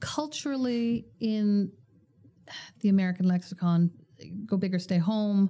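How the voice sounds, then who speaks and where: In a Canadian accent, a somewhat breathy, dark, mellow voice moves at a fairly slow pace with ordinary pitch variation, on a very clean recording with a silent background. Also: woman, medium pitch for a woman. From Canada. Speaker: bank executive. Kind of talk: interview.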